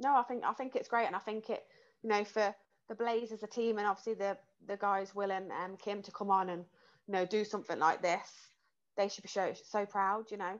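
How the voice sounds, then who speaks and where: A woman with a British accent speaks at a fairly quick pace. Her intonation is fairly even, and the background is quiet. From England. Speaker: mental health and exercise coach; exercise coach. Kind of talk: casual interview. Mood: warm, earnest. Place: home room. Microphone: earbuds.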